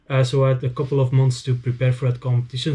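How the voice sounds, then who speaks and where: The man's medium-pitched voice is somewhat breathy, with a dark, mellow tone and monotone, flat intonation. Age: 20s. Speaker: speedcubing YouTuber. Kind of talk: casual Q&A monologue. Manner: hesitant with fillers.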